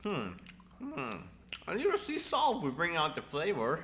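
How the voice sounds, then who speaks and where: Someone performs a put-on character voice at a middle pitch and moderate pace. Background noise is clear. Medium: audio drama. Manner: hesitant, polite, curious.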